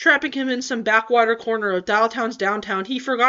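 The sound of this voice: Reading in an unforced voice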